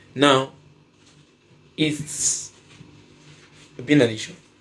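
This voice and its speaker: A man is speaking. He has a Nigerian accent. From Nigeria (Edo). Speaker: stand-up comedian. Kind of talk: podcast discussion. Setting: studio. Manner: animated.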